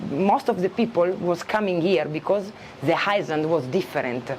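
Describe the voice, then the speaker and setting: With noticeable background noise, a woman in an Italian accent talks at a moderate pace in a fairly low voice. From Italy. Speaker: expat shop and eco farm owner. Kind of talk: casual interview chat. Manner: halting, many fillers and restarts.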